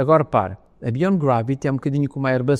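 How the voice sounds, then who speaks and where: This man has a European Portuguese accent. His tone is dark and mellow. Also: quiet background. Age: 60s. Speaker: space agency head. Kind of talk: interview. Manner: hesitant, with many fillers and restarts.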